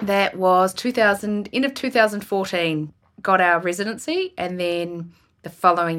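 With a New Zealand accent, a woman speaks with ordinary pitch variation. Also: very clean recording, silent background. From New Zealand, rural Marlborough. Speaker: film producer. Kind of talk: casual interview.

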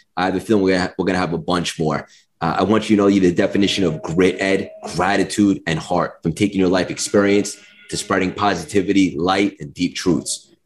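Music plays in the background as a man with an American accent speaks in a very deep, low pitch. He talks at a very fast pace with fairly even intonation. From New York. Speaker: podcast host. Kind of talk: interview.

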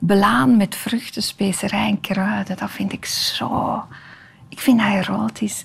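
Very slowly, a woman speaks at medium pitch with lively intonation. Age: 50s. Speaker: tv maker and storyteller. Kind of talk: interview conversation.

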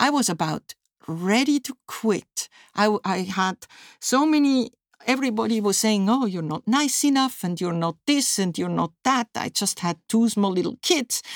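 A woman with a fairly high voice talks at a fairly slow pace, her pitch swinging very widely. The recording is very clean and dry, close with no echo, against a silent background. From Switzerland. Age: 60s. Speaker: physicist. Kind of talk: interview.

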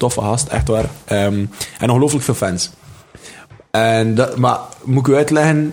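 A man with a Flemish accent at a medium pitch and moderate pace, with ordinary pitch variation, very even loudness, long, frequent pauses and noticeable background noise. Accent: Flemish Dutch. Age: 20s. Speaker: comedian and rapper. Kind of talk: casual chat.

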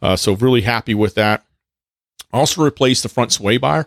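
An unremarkable speaking voice with an American accent and ordinary pitch variation is heard in a very clean recording with a silent background and a dry, close sound with no echo. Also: man. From Texas. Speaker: podcast host, hunter and off-roader, Marine veteran. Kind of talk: solo podcast monologue; casual chat.

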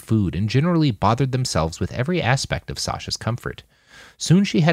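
The delivery is plain reading aloud with lively intonation.

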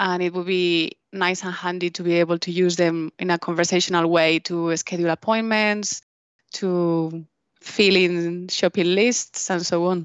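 Here a woman talks at a fairly low pitch. Her delivery is fairly slow, in a monotone, flat intonation. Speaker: podcast co-host. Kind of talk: scripted intro; interview.

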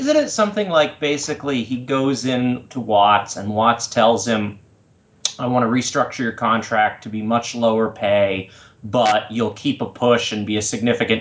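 Medium in pitch, a man with an unremarkable speaking voice keeps his intonation fairly even. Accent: American. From US Northeast (Massachusetts). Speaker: wrestling fan podcast guest. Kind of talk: casual chat.

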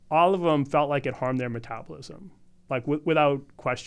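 A man with an unremarkable speaking voice and an American accent, ordinary pitch variation, a fairly quick pace, and a quiet background. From US Northeast (Boston area). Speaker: naturopathic doctor and supplement formulator. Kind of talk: podcast interview. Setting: studio.

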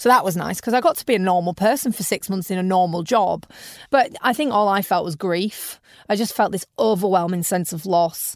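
A woman speaks with a British accent at a fairly quick pace. Her pitch is medium, and the recording is very clean with a silent background. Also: ordinary pitch variation. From UK. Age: 30s. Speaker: entrepreneur. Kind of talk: interview. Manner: animated.

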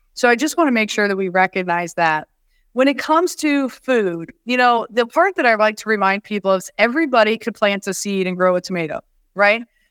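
The sound is dry and close, with no echo. A woman speaks fairly quickly at a fairly high pitch, her intonation lively. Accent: Midwestern US. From Iowa (West Branch, small town). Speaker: homeless shelter chief executive. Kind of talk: interview conversation.

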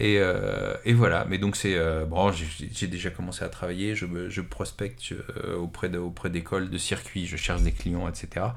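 Audible room echo surrounds a man with a very deep, low pitch who speaks at a fairly slow pace. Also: fairly even intonation. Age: 40s. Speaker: motoring journalist and former racing driver. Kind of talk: interview. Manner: halting, many fillers and repetitions.

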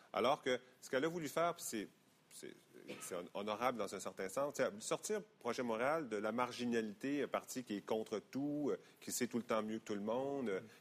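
The pace stays moderate throughout. It is an unremarkable speaking voice with ordinary pitch variation. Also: man, medium pitch for a man. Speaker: politician. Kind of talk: interview.

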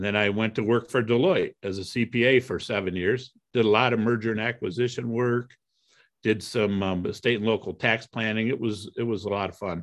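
In an ordinary speaking voice, a man with an American accent talks at a medium pitch with fairly even intonation. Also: moderate pace, quiet background. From US Midwest, Toledo, Ohio. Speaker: real estate investor. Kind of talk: interview.

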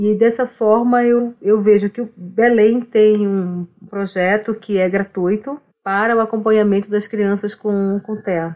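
Her intonation is monotone and flat. The woman speaks at a fairly slow pace. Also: fairly high pitch for a woman. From Brazilian Amazon, Omágua Kambeba people. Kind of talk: casual interview conversation. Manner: repetitive, halting.

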